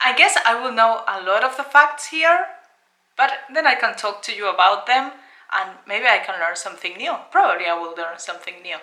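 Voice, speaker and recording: Talking at a fairly quick pace, a woman with a Spanish accent uses a fairly high pitch, with very wide pitch swings and big swings in loudness. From Spain. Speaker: YouTuber. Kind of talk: casual video reaction.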